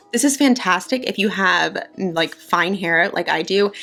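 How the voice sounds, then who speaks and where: With music in the background, a woman at medium pitch sounds upbeat, her intonation lively. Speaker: beauty YouTuber. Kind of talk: casual talk to camera.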